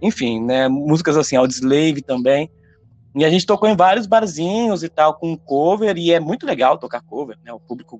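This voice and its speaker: A man's fairly high, normal speaking voice at a moderate pace, with lively intonation. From interior of São Paulo state, Brazil. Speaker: rock singer and songwriter. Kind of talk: casual interview chat.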